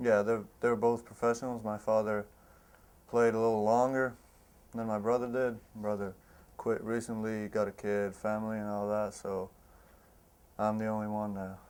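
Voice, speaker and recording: Delivered at a moderate pace, the speech is monotone and flat, broken by long, frequent pauses. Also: man, fairly low pitch for a man. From Croatia (Split). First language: Croatian. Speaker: college basketball player. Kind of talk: interview.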